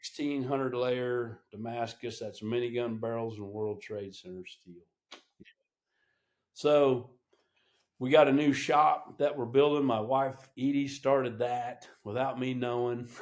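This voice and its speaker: A man speaks at a fairly slow pace in a plain, everyday voice, his pitch medium. His loudness swings widely from moment to moment. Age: 60s. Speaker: veteran helicopter pilot and knife maker. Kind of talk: casual interview chat.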